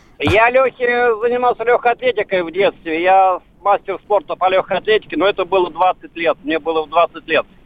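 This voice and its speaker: Ordinary pitch variation at a fairly quick pace, with noticeable background noise behind it. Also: man, high pitch for a man. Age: 60s. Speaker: caller, amateur bench press athlete. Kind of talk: call-in question.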